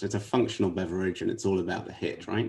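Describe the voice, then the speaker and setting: A man is speaking. He has a London accent. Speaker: management consultant. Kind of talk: interview.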